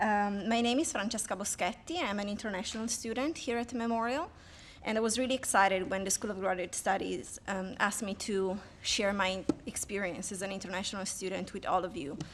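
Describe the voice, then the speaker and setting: A woman talks at a fairly quick pace with a slight Italian accent. Her pitch sits in the medium range. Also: ordinary pitch variation. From Italy. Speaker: PhD student. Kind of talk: speech to an audience.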